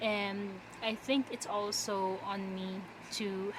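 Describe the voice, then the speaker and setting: The speaker has a non-native accent and a monotone, flat intonation. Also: woman. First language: not English. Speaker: vlogger. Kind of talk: casual chat. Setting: bedroom floor.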